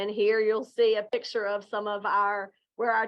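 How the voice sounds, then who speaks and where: In a Southern Virginia accent, a woman speaks at a fairly high pitch. Her pace is moderate. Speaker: education executive. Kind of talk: conference presentation.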